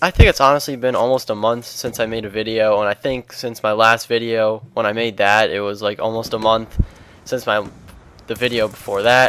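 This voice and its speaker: A man talks at a fairly quick pace, medium in pitch, with fairly even intonation. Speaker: gaming youtuber. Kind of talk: casual vlog commentary. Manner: hesitant, many fillers. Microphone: old cheap mic, pops, less full sound.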